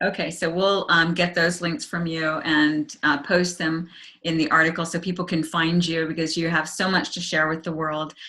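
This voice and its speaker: A woman with a fairly low voice in a flat monotone, over noticeable background noise. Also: moderate pace. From Hawaii. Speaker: interview host. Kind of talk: interview.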